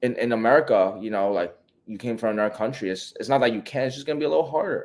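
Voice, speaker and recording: A man with a New York accent speaks in an animated tone, with ordinary pitch variation. The recording is very clean, with a silent background. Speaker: e-commerce coach. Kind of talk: live Q&A stream.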